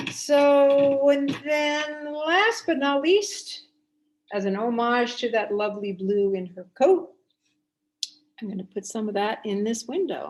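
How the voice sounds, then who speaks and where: A woman with a New Jersey accent speaks at a very slow pace and a high pitch. Her pitch swings very widely. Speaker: watercolor artist and art teacher. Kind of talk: painting tutorial demo.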